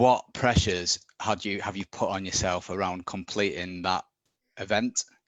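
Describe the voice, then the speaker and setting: Speaking with a northern English accent, a man holds a fairly low pitch in a flat, monotone delivery. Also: moderate pace. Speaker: back pain sufferer sharing recovery. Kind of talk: live Q&A interview. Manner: halting, many restarts.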